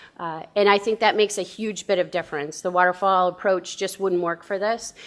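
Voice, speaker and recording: A woman with a medium-pitched voice is heard on a very clean recording with a silent background. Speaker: conference speaker, data management lead. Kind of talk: conference talk. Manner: fast.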